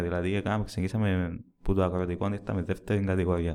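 A man with a Cypriot accent talks at a fairly quick pace. His tone is dark and mellow. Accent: Cypriot Greek. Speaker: football fan podcast host. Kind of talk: casual chat.

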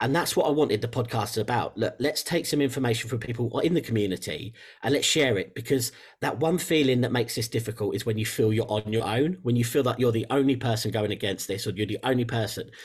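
With an English accent, a man speaks at a very fast pace in a somewhat breathy voice of medium pitch, his pitch varying in an ordinary way over a very clean recording with a silent background. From England. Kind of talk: interview conversation.

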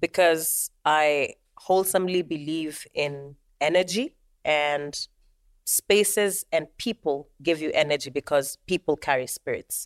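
In a very clean recording with a silent background and a dry, close sound with no echo, a woman speaks at a fairly slow pace with a very deep, low pitch. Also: ordinary pitch variation. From Kenya. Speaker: drummer and percussionist. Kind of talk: casual interview chat.

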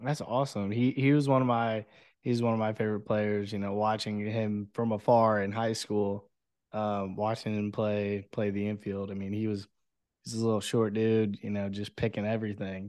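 A man speaks at a moderate pace in a fairly low voice. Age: 20s. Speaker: podcast host. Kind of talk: casual interview chat. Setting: video call. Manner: animated.

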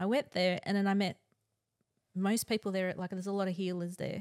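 In an Australian accent, a woman speaks at a medium pitch with monotone, flat intonation, recorded very cleanly against a silent background with a dry, close sound and no echo. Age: 40s. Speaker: twin flame guest, Reiki practitioner. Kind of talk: casual chat.

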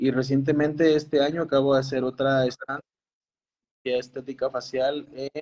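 The sound is dry and close, without echo. A man talks at a moderate pace in a monotone, flat intonation. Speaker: oral and maxillofacial surgeon. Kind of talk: casual interview.

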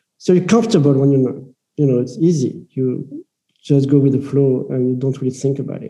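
With a French accent, a man talks at a fairly quick pace in a fairly high pitch, his tone dark and mellow, somewhat breathy, with ordinary pitch variation. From France. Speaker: impact investor. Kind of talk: interview conversation.

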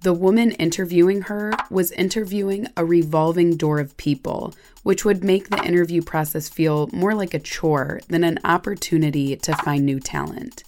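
With an unremarkable speaking voice, a woman talks at a moderate pace with hardly any pauses, a fairly low pitch and ordinary pitch variation, on a very clean recording with a silent background. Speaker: podcast host narrator. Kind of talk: scripted narration.

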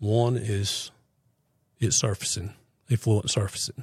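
A somewhat breathy man with an American accent at a fairly slow pace, very cleanly recorded with a silent background and a dry, close sound with no echo. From US South, North Carolina (Fuquay-Varina). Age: 60s. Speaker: septic contractor. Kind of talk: casual interview.

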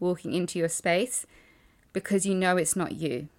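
On a very clean recording with a silent background, a woman with a normal speaking voice talks at a moderate pace and a fairly low pitch. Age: 30s. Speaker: life coach and podcast host. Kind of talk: solo podcast monologue.

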